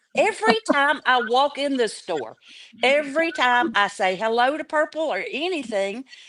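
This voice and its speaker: In a Southern US accent, a woman speaks at a high pitch and a fairly slow pace. Her pitch moves in very wide swings. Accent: Southern American. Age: 60s. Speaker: livestream chat participant. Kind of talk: casual chat.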